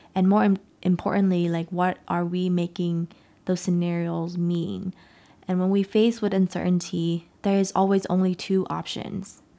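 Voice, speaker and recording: Speaking in a Vietnamese accent, a woman uses a dark, mellow tone at medium pitch and moderate pace, with monotone, flat intonation on a very clean recording with a silent background. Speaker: podcast host and life coach. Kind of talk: solo motivational talk.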